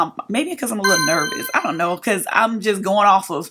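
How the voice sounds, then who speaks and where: Speaking at a fairly quick pace, a woman has a medium pitch, a bright, sharp tone and lively intonation. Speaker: beauty and lifestyle YouTuber. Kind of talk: get-ready-with-me vlog advice. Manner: fast; casual, chatty.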